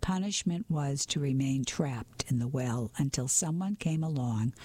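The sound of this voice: This is an unforced reading voice. It comes across as an unforced reading voice throughout.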